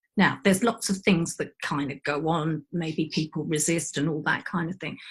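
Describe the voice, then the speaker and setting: Captured in a very clean recording with a silent background, a woman speaks in a somewhat breathy voice. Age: 60s. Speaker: aura mediator. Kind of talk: casual chat.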